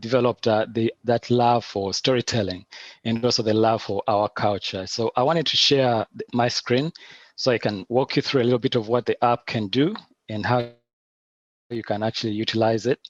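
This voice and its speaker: A Ugandan-accented man at medium pitch, a fairly quick pace and big swings in loudness, in a dry, close sound with no echo. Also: quiet background. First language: Luganda. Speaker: animator and app founder. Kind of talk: online presentation with demo.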